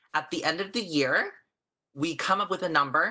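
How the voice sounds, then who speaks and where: Loud and bright with a sharp edge, a man talks fairly quickly at a fairly high pitch with ordinary pitch variation. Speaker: accounting instructor. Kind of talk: online lecture. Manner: fast.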